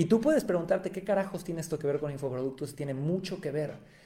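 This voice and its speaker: High-pitched male speech against noticeable background noise. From Mexico, Cancún. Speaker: podcast host, marketing agency. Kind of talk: solo podcast monologue. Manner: animated.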